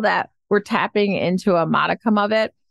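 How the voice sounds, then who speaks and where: Recorded with a dry, close sound and no echo, a woman has an ordinary speaking voice at medium pitch and a moderate pace. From US Midwest, Detroit, Michigan. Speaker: happiness coach. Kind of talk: podcast interview.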